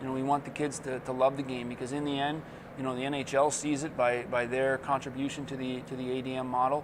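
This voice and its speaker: Over noticeable background noise, a man with an American accent talks at a very fast pace and medium pitch in a monotone, flat way. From New Jersey. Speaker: hockey coach and former player. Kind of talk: interview. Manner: casual, with many fillers.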